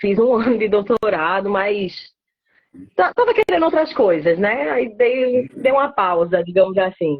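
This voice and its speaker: A northeastern Brazilian accent with lively intonation at a fairly slow pace. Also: woman. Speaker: biologist in pest control. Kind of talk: live stream interview. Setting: online live stream.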